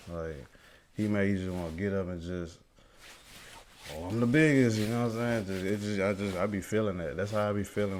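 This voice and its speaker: Room echo is audible as a man with a very deep, low pitch talks at a fairly quick pace. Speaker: amateur rapper. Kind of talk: interview. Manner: halting.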